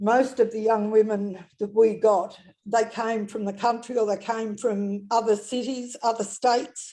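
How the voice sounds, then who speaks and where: With an Australian accent, a woman speaks in a dark, mellow tone at a fairly high pitch, her intonation monotone and flat. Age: 70s. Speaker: retired midwife. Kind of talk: interview testimony. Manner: halting.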